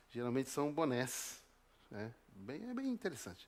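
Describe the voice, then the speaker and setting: The speaker is a man. He talks in a Paraná accent. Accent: Brazilian Portuguese, Paraná. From southern Brazil, northern Paraná (Apucarana). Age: 50s. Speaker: preacher. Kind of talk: sermon.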